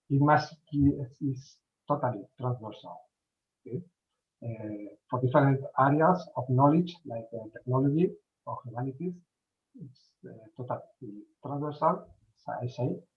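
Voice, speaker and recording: With a Spanish accent, a man speaks at a moderate pace in a fairly high, somewhat breathy voice, with ordinary pitch variation, big swings in loudness, and long, frequent pauses. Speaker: event speaker. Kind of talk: conference talk. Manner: halting.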